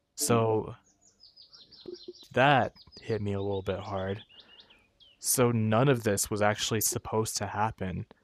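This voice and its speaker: Speaking at a fairly slow pace with long, frequent pauses, a man uses a fairly low pitch and fairly even intonation. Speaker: virtual tour video host. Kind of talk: casual commentary while browsing and reading aloud. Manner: subdued, quieter than usual.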